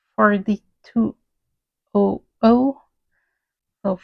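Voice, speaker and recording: Very slow speech in a French Canadian accent, with a dry, close sound and no echo. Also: woman. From French Canada. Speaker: crafter, cross stitcher. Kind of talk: casual talk to camera.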